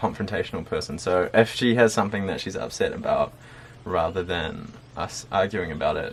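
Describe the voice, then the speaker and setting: A man speaks at a fairly quick pace with a New Zealand accent. Noticeable background noise runs under him. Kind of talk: casual conversation.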